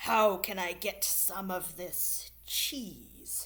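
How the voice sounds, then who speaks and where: Putting on a growling character voice, a woman speaks at a very slow pace. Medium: read story.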